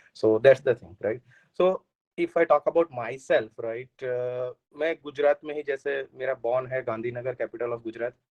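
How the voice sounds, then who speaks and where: A man speaks at medium pitch and a moderate pace with a slight Gujarati accent. His intonation is fairly even, and the sound is dry and close with no echo. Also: big swings in loudness. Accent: Gujarati-tinged Hindi, slight. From Gujarat, India (Ahmedabad). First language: Gujarati (speaking Hindi). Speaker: software engineer, returned emigrant. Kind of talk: podcast interview. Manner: hesitant, many fillers.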